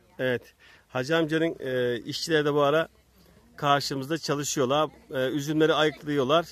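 Speaking at a moderate pace, a man keeps a monotone, flat intonation in a dry sound with no echo. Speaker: local video reporter. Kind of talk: casual on-location reporting. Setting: outdoors. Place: farm. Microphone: phone near.

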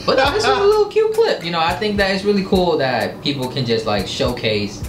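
A man talks at a fairly quick pace, with audible room echo and light background noise behind him. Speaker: reaction show host. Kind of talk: casual reaction chat. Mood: playful, laughing. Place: studio.

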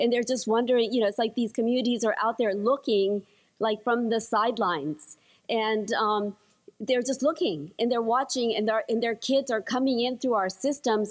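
A woman at a moderate pace, with ordinary pitch variation, over a quiet background. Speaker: conference panelist. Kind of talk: conference presentation. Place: hall. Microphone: podium.

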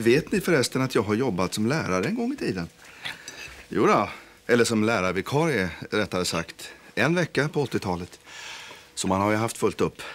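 Over light background noise, a man speaks at a moderate pace with a fairly low pitch. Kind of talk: scripted drama dialogue, rambling anecdote. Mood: self-satisfied, chatty. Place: kitchen.

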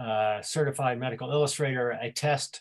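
Against a quiet background, a man speaks in a somewhat breathy, medium-pitched voice with fairly even intonation. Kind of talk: online presentation. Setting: video call. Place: home room. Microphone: webcam.

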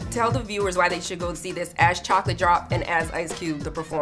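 Clear music plays in the background. Over it, a woman talks at a very fast pace. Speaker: entertainment host. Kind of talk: entertainment review hosting. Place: street. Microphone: handheld.

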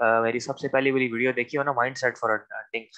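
In a bright, sharp tone, the speaker goes at a moderate pace with monotone, flat intonation against a quiet background. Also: man. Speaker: trainer. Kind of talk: lecture. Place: home room. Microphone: video call.

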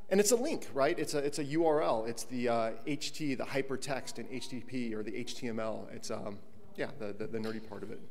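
An unremarkable speaking voice, this man talks at a moderate pace with medium pitch and ordinary pitch variation. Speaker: conference speaker, tech co-founder. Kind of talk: conference panel presentation. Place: hall.

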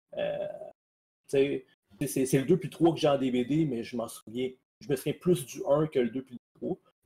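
In a Quebec accent, a man with a fairly high, somewhat breathy voice and a dark, mellow tone talks fairly slowly, with long, frequent pauses and big swings in loudness. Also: ordinary pitch variation. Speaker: podcast panelist. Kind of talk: casual chat.

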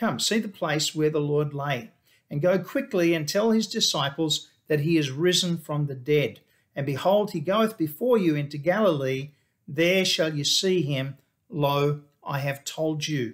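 There is a quiet background as a man talks at a fairly slow pace. His pitch varies in an ordinary way. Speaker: pastor. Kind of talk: sermon. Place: office. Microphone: webcam.

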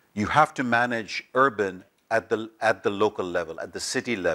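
Against a quiet background, a man with a bright, sharp tone speaks at a moderate pace with ordinary pitch variation. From Bangladesh. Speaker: development bank official; panelist. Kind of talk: panel discussion. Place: hall. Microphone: lapel.

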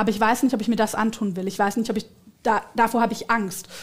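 Against a quiet background, a woman talks in a monotone, flat intonation. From Swabia, southern Germany. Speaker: politician. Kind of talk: political interview. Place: studio. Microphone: headset.

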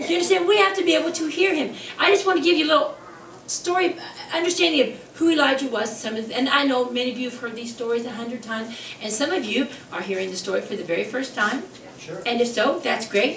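Over light background noise and audible room echo, a woman talks very fast in a high, animated voice that swings very widely in pitch. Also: big swings in loudness. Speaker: preacher. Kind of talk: sermon. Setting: church. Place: church. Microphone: podium.

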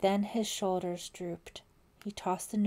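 Here is a natural reading voice.

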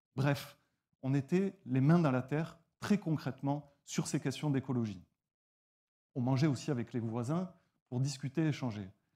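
Against a quiet background, a man with a medium-pitched, dark, mellow voice talks at a fairly slow pace with ordinary pitch variation and long, frequent pauses. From southwestern France, near Toulouse; southwestern France. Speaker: nonprofit founder. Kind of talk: pitch presentation. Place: stage. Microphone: lapel.

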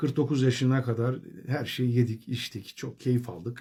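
Fairly slow and somewhat breathy, a man speaks. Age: 40s. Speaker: vlogger sharing diet experience. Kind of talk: personal video diary. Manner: hesitant, many filler sounds.

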